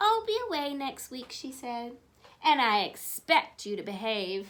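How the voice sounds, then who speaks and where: Her pitch high, a woman speaks at a fairly slow pace with very wide pitch swings. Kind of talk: bedtime story. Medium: read story. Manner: warm, expressive, interactive.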